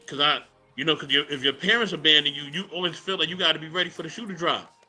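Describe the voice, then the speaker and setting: Words come at a very fast pace, with big swings in loudness and ordinary pitch variation. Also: man, fairly high pitch for a man. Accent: New York. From New York City, Brooklyn. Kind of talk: casual podcast discussion.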